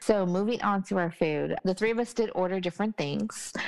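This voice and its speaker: A woman speaks at a moderate pace with an American accent. The background is quiet. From Texas. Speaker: travel podcast host. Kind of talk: casual chat review. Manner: animated.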